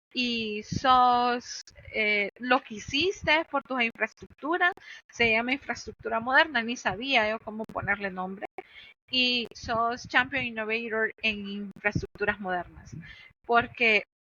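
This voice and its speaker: A woman speaks very slowly with a fairly high pitch and ordinary pitch variation. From Honduras. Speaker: cloud infrastructure engineer. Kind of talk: podcast interview.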